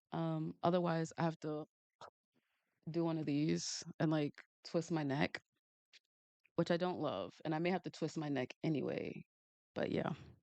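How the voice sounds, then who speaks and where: With a strong New York accent, a woman with a very deep, low pitch and a dark, mellow tone speaks at a moderate pace in monotone, flat intonation, with long, frequent pauses, in a dry, close sound with no echo. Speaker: manga artist and streamer. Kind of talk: casual live stream chat while drawing. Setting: live stream, home studio. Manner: casual, chatty.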